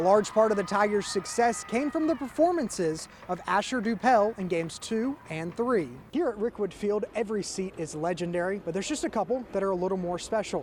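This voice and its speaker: Over noticeable background noise, a man with an American accent and a high pitch talks at a fairly quick pace with lively intonation and hardly any pauses. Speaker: sports reporter / anchor. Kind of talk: news package voiceover and on-camera reporting.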